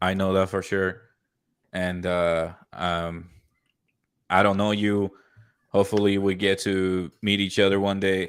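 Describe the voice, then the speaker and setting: In an American accent, a plain, everyday voice speaks at a moderate pace with fairly even intonation on a very clean recording with a silent background. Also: man. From Colombia. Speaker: podcast host. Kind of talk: casual chat.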